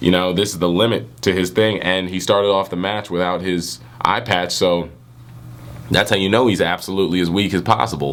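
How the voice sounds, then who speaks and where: The man's pitch is very deep and low. Noticeable background noise runs underneath. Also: fairly quick pace. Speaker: manga reviewer, YouTuber. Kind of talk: casual video review. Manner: animated.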